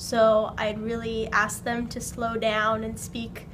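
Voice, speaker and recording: Audible room echo surrounds the voice. It talks at a fairly slow pace. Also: woman. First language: not English. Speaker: ESL learner interviewee. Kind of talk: interview.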